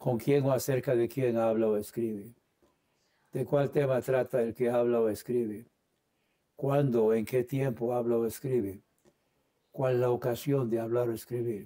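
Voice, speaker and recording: A man with an English accent speaks at a fairly slow pace, at medium pitch, in a dark, mellow tone with very even loudness. His intonation is monotone and flat, broken by long, frequent pauses. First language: English (speaking Spanish). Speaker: Bible teacher. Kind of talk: Bible study lesson. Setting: online livestream. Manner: hesitant, many fillers.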